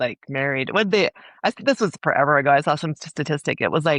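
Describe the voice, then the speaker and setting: A woman with an American accent, very deep and low in pitch, at a very fast pace with ordinary pitch variation, in a dry, close sound with no echo and a quiet background. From US Rocky Mountains. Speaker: romance author. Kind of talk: casual chat.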